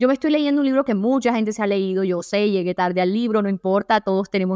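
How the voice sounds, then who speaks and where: Very fast speech from a woman with a fairly high pitch and ordinary pitch variation, dry and close with no echo, in a very clean recording over a silent background. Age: 20s. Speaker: self-help podcaster. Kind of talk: solo podcast monologue. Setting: at home.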